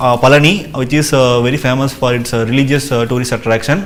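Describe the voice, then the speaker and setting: Audible room echo surrounds a man who talks at a very fast pace in a fairly high pitch. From Tamil Nadu, India. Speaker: civil service exam candidate. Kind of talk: mock job interview. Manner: hesitant with many uh fillers.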